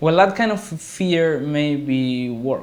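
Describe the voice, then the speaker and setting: Moving at a very slow pace, a man speaks with lively intonation. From Argentina. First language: Spanish. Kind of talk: casual talk to camera.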